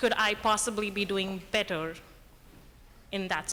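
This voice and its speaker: The speech is shaky and very slow. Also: woman. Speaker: audience member, emergency room worker. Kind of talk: audience question at panel Q&A. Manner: shaky voice; quiet, asked to speak up.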